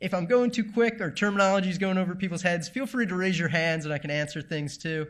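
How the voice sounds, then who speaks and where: In a very clean recording with a silent background, a man talks at a very fast pace with hardly any pauses. His pitch is high, with ordinary variation. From New England, US. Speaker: tech presenter on VR filmmaking. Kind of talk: talk to live audience. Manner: casual, with many fillers.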